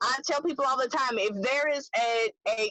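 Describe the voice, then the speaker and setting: Her pitch high and its variation ordinary, a woman speaks at a fairly slow pace. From US South, Memphis, Tennessee. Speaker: business coach. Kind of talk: virtual summit talk.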